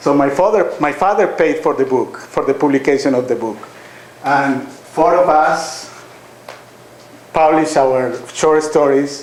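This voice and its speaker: A man with a Colombian accent speaks at a fairly slow pace with a fairly high pitch and fairly even intonation. Audible room echo and noticeable background noise are present. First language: Spanish. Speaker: author and university teacher. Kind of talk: public talk at a reading event. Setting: lecture hall with audience. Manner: halting, with many fillers.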